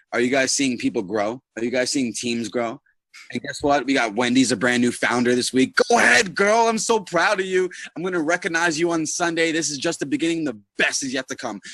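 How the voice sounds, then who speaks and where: Loud and animated, a man speaks at a fairly quick pace and fairly high pitch, with very wide pitch swings and a bright, sharp tone. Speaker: network marketing team leader. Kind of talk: motivational team call. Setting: online group call.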